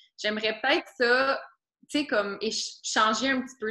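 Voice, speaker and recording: Here a woman talks with a Quebec accent. Her voice sits at a fairly high pitch. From Quebec, Laurentians. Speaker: student. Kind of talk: casual interview.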